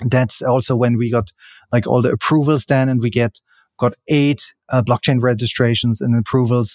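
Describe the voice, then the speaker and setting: At a moderate pace, a man with a German accent speaks at medium pitch, the sound dry and close with no echo. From Germany. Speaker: crypto exchange CEO. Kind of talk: interview. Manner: halting.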